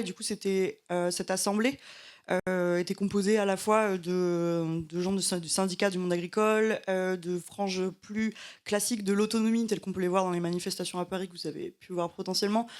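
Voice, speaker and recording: Her flat, monotone delivery comes at a fairly quick pace, and the woman is recorded very cleanly against a silent background. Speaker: environmental activist. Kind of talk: panel discussion. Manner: fast; halting, many fillers.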